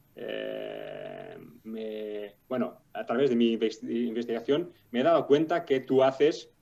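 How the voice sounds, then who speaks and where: Music plays in the background. A man talks at a very slow pace. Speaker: podcast host. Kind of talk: podcast interview. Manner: halting, many fillers.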